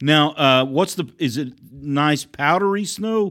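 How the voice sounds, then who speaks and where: An unremarkable speaking voice from a man, fairly high in pitch with ordinary variation, in a very clean recording with a silent background. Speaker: podcast host. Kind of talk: interview.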